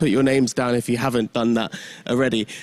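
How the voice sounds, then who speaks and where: A man with a London accent, very fast and animated, in a dry, close sound with no echo. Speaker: event MC. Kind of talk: stage hosting. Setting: conference stage with audience.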